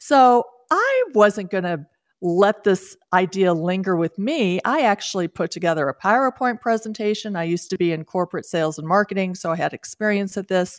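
On a very clean recording with a silent background and a dry, close sound with no echo, a woman uses an ordinary speaking voice at medium pitch, a moderate pace and ordinary pitch variation. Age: 60s. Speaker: author and podcast host. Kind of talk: radio interview.

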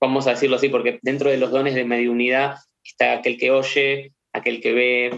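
A man speaks with a Rioplatense accent. His pitch is medium. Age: 30s. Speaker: medium, spiritual channeler. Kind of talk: interview.

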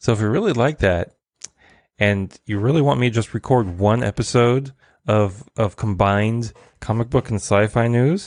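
A man talks at a moderate pace with ordinary pitch variation and very even loudness over a quiet background. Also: medium pitch for a man. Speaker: podcast host. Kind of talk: solo news roundup. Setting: home recording, streamed live. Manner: varied intonation.

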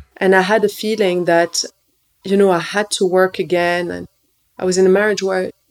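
A woman speaks with monotone, flat intonation. Her pace is moderate. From Morocco. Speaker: nutritionist and entrepreneur. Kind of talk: interview conversation.

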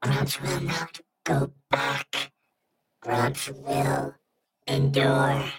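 A man puts on a raspy character voice at a medium pitch. He talks at a very slow pace, with long, frequent pauses. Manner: resolute, declaring.

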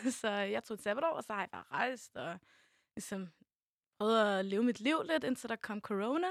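A woman with an unremarkable speaking voice and fairly high pitch speaks at a moderate pace with lively intonation, in a dry, close sound with no echo and a very clean recording with a silent background. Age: young. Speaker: youth media volunteer. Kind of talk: casual chat.

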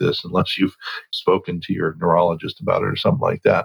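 The speaker has an American accent. The sound is dry and close, with no echo. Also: man. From Oregon. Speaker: naturopathic physician. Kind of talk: interview.

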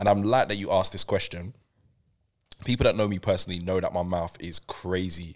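Fairly quick and animated, a man with a London accent speaks in a very clean recording with a silent background. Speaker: radio presenter and broadcaster. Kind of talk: casual chat. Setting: studio.

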